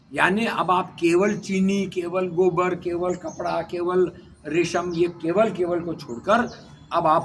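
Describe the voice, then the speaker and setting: Ordinary pitch variation in a man's high voice. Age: 70s. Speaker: retired civil servant and speaker on cooperatives. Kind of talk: interview. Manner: emphatic, repetitive.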